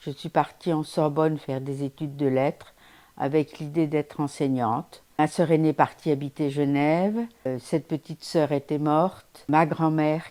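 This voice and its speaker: At a moderate pace, a woman with a very deep, low pitch and a dark, mellow tone speaks on a very clean recording with a silent background. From Paris, France. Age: 80s+. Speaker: elderly woman giving testimony. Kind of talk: personal testimony.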